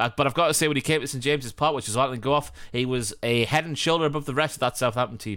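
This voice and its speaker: A man speaks very fast in a bright, sharp tone at a medium pitch. The recording is very clean, with a silent background. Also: ordinary pitch variation, hardly any pauses. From England. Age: 30s. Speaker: football podcast host. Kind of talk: casual chat.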